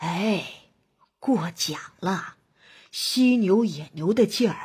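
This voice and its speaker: A resonant, put-on character voice from a woman at a medium pitch, very slow, with ordinary pitch variation, on a very clean recording with a silent background. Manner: humble, honest, trailing off weakly at sentence ends.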